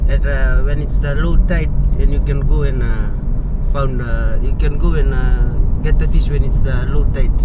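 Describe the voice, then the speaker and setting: A man talks at a moderate pace in a dry sound with no echo, over loud background noise. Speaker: local guide. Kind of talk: casual vlog chat. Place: car. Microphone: phone near.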